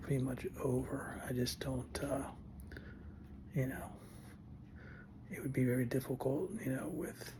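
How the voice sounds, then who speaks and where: Whispering at a fairly slow pace, a man is heard with audible room echo and noticeable background noise. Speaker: vlogger with Parkinson's. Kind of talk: casual vlog monologue. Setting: home, early morning. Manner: halting.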